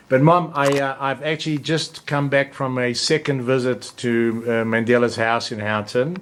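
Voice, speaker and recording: Against noticeable background noise, a man speaks at a moderate pace with fairly even intonation and hardly any pauses. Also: medium pitch for a man. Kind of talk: casual interview questions.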